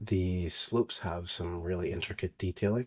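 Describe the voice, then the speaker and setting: A man speaks with a very deep, low pitch and fairly even intonation. His voice is somewhat breathy. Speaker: software developer presenting his tool. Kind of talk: tutorial. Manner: filler-heavy, hesitant.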